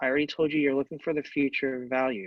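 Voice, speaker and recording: A man speaks. The sound is dry and close, with no echo. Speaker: math instructor. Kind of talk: lecture. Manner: loud.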